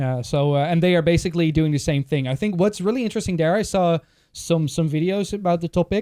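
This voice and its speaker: A man talks at a very fast pace in a high voice with a dark, mellow tone, ordinary pitch variation and a Dutch accent. The sound is dry and close with no echo, on a very clean recording with a silent background. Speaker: podcast host. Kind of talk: casual chat.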